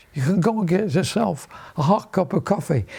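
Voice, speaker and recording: A man speaks at a high pitch with very wide pitch swings. Noticeable background noise is present. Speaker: Royal Navy veteran. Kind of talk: interview answer.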